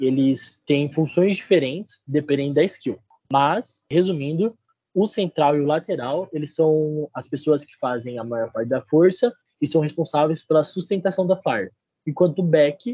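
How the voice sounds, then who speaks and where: A man's fairly high voice, dark and mellow in tone, at a moderate pace, with big swings in loudness, ordinary pitch variation and a dry, close sound with no echo. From interior of São Paulo state, Brazil. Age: 20s. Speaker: university student and cheerleading athlete. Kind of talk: casual podcast interview.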